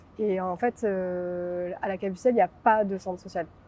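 A woman talks fairly slowly at a medium pitch with fairly even intonation. She has an ordinary speaking voice. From Marseille, southern France. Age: 20s. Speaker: founder of a social association. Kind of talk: interview. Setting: filmed on location.

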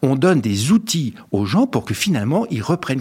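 Talking at a fairly quick pace, a man sounds somewhat breathy, his pitch swinging very widely. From France, Paris. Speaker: motivational speaker and author. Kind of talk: radio interview.

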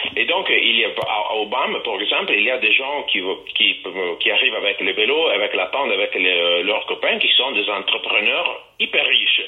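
Noticeable background noise sits behind the voice. A man speaks at a moderate pace. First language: Italian (speaking French). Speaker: festival organizer. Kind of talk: interview. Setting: phone call.

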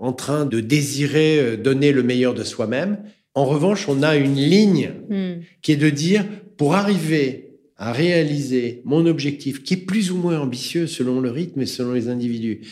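Using an unremarkable speaking voice, a man talks fairly slowly at a fairly high pitch with ordinary pitch variation. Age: 60s. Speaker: entrepreneur and author, business coach. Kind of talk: interview.

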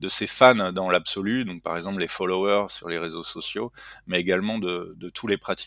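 Delivered at a fairly slow pace, a man's fairly low-pitched voice has a bright, sharp tone and fairly even intonation, recorded with a dry, close sound and no echo. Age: 40s. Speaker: tech startup CEO and engineer. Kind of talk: interview.

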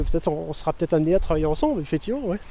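This man's pitch is fairly high. His pitch variation is ordinary. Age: 30s. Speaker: unemployed resident. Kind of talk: interview. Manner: halting.

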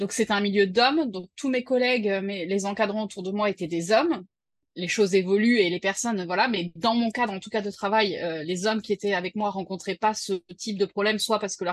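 Recorded with a dry, close sound and no echo, a woman talks at a fairly quick pace and medium pitch with fairly even intonation. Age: 30s. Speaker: freelancer and mother. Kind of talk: personal testimony interview. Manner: hesitant, many fillers.

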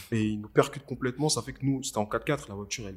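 A man speaks at a medium pitch with ordinary pitch variation and a somewhat breathy quality. The recording is very clean, with a silent background. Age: 20s. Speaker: videographer and filmmaker. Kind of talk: casual interview. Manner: casual, hesitant with fillers.

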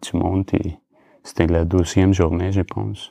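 A man with a Spanish accent speaks at a very slow pace. His pitch is very deep and low, with ordinary variation. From Colombia. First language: Spanish (speaking French). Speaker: photographer. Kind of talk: casual chat. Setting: under a duvet. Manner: halting.

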